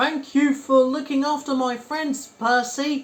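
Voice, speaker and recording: Using a put-on character voice pitched extremely high, a man speaks fairly slowly in a flat monotone. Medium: read story.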